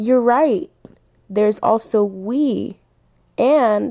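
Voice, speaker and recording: A woman's dark, mellow voice at a very slow pace, with ordinary pitch variation. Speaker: student teacher. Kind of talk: classroom teaching talk.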